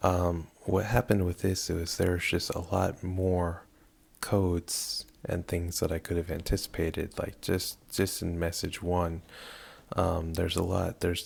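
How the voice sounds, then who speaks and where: A man talks at a fairly slow pace in a very deep, low pitch. His voice is somewhat breathy, with monotone, flat intonation. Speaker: hobbyist game modding programmer. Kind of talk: screen-recorded tutorial. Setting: at home late at night. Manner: hesitant with many fillers.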